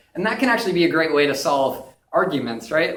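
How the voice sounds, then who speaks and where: Very fast speech comes through with audible room echo. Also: man. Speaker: UX designer giving a conference talk. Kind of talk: conference presentation; direct-to-camera video message. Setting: stage with audience.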